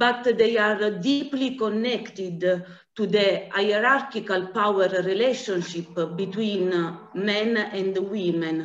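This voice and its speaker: Speaking at a very slow pace with an Italian accent, a woman uses a medium pitch and ordinary pitch variation, with audible room echo around her voice. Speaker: anti-trafficking director. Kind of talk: conference presentation. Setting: video call. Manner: halting.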